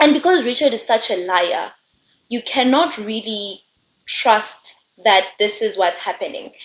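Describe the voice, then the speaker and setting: Lively intonation and an animated tone at a fairly slow pace, with a non-native accent. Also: woman, fairly high pitch for a woman. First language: not English. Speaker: book reviewer. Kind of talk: casual book review chat.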